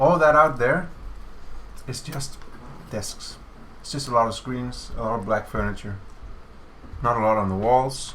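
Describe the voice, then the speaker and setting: A man with a Danish accent speaks at a moderate pace in a medium pitch, with ordinary pitch variation, long and frequent pauses, and audible room echo. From Denmark. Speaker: game developer streamer. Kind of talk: casual chat. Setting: office livestream.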